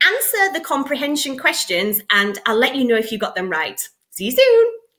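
Over a quiet background, a woman with a British accent speaks in a raised, projected voice at a moderate pace, with very wide pitch swings. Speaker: English teacher. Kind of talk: casual talk to camera. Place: home room. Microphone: webcam.

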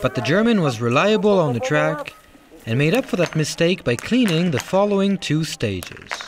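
A man's high-pitched voice with very wide pitch swings and very even loudness, over music in the background. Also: moderate pace. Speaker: sports commentator. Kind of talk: sports commentary, scripted race recap narration. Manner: brisk, polished, measured; neutral, even-toned, informative.

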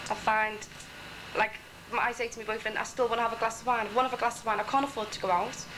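A woman speaks very fast in a fairly high, monotone, flat voice. Long, frequent pauses break it up over noticeable background noise. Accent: Liverpool. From Liverpool. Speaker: airport ground hostess. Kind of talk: documentary interview. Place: shop. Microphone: old recording.

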